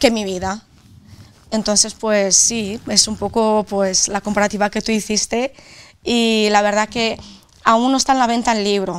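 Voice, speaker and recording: With a strong Castilla-La Mancha accent, a woman talks at a fairly slow pace in a fairly high, monotone voice with flat intonation. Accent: Albacete Spanish accent, strong. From Romania. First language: Romanian (speaking Spanish). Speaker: author; interviewee. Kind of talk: interview. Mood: serious, recounting painful past. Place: studio.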